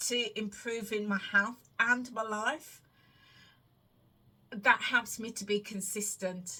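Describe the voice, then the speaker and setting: In a bright, sharp tone, a woman with a fairly high voice speaks very slowly with fairly even intonation. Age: 50s. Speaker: weight loss vlogger and wellness coach. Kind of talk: casual Q&A monologue to camera. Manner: conversational with hesitations and self-repetition.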